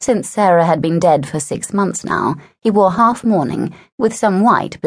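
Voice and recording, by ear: The speaker is reading aloud in a natural voice. Pitch varies in an ordinary way, and the background is quiet.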